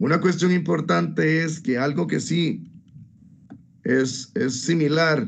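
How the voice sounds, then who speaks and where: A man speaks at a fairly high pitch with vocal fry and lively intonation. Audible room echo surrounds his voice. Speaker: law student. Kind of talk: class presentation. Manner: hesitant.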